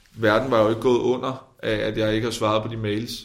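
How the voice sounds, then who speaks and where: A man speaking fairly quickly in a flat monotone, with audible room echo. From Denmark, provinces. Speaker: politician. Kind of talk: interview. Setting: parliament building, away from studio.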